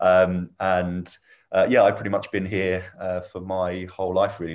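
A man speaks with a southern English accent. His pitch is very deep and low. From England, Milton Keynes. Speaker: startup founder. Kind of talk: interview. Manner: hesitant, many fillers.

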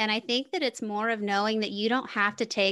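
A woman with an American accent speaks in a bright, sharp tone. The background is quiet. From US South. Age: 40s. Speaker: podcast host and business coach. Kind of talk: casual interview chat.

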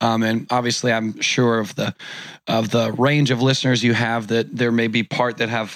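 A man speaks in a monotone, flat intonation at very even loudness. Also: medium pitch for a man, moderate pace. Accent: American. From Orange County, California. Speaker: entrepreneur and conference organizer. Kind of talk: casual interview chat.

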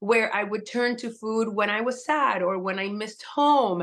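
A woman with a plain, everyday voice, fairly high pitch, ordinary pitch variation and a fairly slow pace. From Puerto Rican household, US. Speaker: holistic health coach and cookbook author. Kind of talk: interview.

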